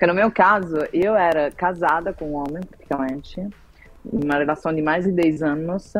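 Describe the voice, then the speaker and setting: With a fairly low pitch and ordinary pitch variation, a woman talks at a moderate pace. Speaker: marketing director and novelist. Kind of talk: interview, personal testimony.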